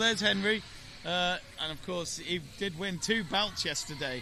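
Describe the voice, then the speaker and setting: A man's raised, projected, high-pitched voice at a moderate pace with ordinary pitch variation, plus audible room echo and noticeable background noise. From northern England. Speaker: live event commentator. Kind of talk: live commentary. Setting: live event arena.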